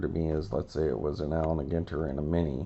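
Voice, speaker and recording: A raspy man with an American accent speaks at a very deep, low pitch. His pace is fairly quick and his intonation fairly even. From US Southwest (Albuquerque, New Mexico). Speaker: sports card collector YouTuber. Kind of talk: casual card-opening video monologue. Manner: casual, hesitant with fillers.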